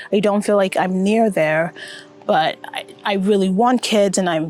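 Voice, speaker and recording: A woman with an American accent uses a plain, everyday voice at medium pitch with ordinary pitch variation. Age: 30s. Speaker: vlogger. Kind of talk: personal vlog monologue. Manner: reflective, conversational.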